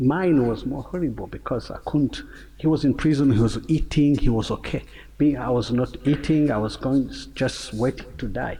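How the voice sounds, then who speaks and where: This man speaks with a Rwandan accent at a medium pitch. His pace is moderate and his pitch varies in an ordinary way. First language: Kinyarwanda. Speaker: singer and genocide survivor. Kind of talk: panel discussion. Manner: halting.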